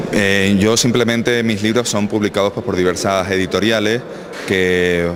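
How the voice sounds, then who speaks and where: Speaking fairly quickly and with fairly even intonation, a man is heard over noticeable background noise. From Canary Islands, south Tenerife (Arona). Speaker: local historian and author. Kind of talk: radio interview.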